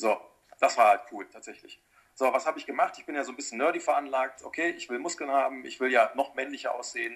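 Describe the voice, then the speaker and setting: The man's loudness rises and falls sharply. He rushes along at a very fast pace. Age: 40s. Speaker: personal trainer. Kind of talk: casual chat.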